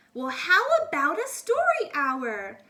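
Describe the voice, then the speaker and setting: A woman's soft-spoken, put-on character voice, high-pitched with very wide pitch swings, at a fairly slow pace. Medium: read story. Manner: gentle, soft-spoken.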